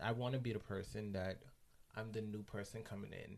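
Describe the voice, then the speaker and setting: A man with a slight West Indian accent speaks in a dark, mellow tone. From West Indies. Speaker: hospital unit assistant. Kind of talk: casual interview chat. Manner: feminine-sounding speech.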